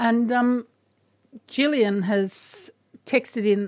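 A woman speaks with an Australian accent at a very slow pace. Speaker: radio host and garden guide. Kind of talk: radio gardening talk show. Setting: studio.

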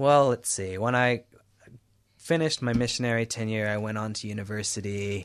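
A man with an American accent and an unremarkable speaking voice talks at medium pitch and a fairly quick pace. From US, Houston, Texas. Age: 20s. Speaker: activist. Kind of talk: interview. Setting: radio studio.

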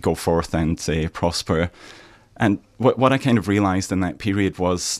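Speaking with a Scottish accent, a man has a very deep, low pitch. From Scotland, Aberdeen. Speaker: author. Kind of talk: radio interview. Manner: halting.

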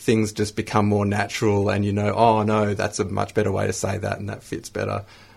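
In an Australian accent, a man speaks at a fairly quick pace with a fairly low pitch and vocal fry. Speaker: spoken word poet, radio studio guest.

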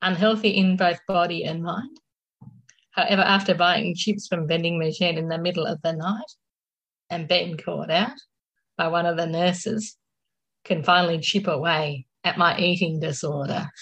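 A woman's fairly low, fairly even voice at a moderate pace, broken by long, frequent pauses. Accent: Australian. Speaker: mental health speaker and poet. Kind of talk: casual interview with poetry reading. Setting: radio studio.

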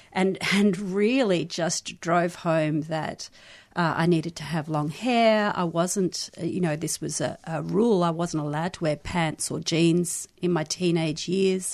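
A woman's fairly low voice with an Australian accent, fairly slow and fairly even, with hardly any pauses against a quiet background. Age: 50s. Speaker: sex educator and activist. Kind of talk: radio interview.

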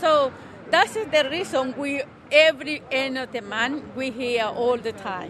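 With a Salvadoran accent, a woman speaks at a very slow pace and a high pitch with ordinary pitch variation over noticeable background noise. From El Salvador, San Vicente. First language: Spanish. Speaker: protester. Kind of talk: interview.

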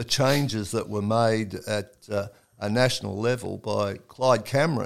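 On a very clean recording with a silent background, a man with an Australian accent speaks at a fairly slow pace with ordinary pitch variation. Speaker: oral history interviewer. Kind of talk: casual interview conversation.

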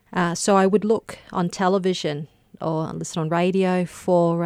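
On a very clean recording with a silent background and a dry, close sound with no echo, a woman with an Australian accent speaks in a fairly low pitch with fairly even intonation. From Queensland, Australia (Gympie). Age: 30s. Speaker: barrister and author. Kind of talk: radio interview. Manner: hesitant, many fillers.

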